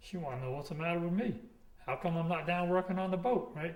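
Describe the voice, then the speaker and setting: A man speaks with an American accent, his voice somewhat breathy. Room echo is audible. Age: 60s. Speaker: commercial fisherman. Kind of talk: oral history interview. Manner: rambling storytelling with false starts.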